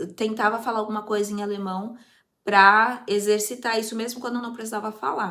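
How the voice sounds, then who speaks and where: Fairly high and bright, sharp in tone, a woman's voice moves at a fairly quick pace with monotone, flat intonation. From Brazil, Osasco, São Paulo. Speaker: youtuber, language-learning vlogger. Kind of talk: casual vlog talk.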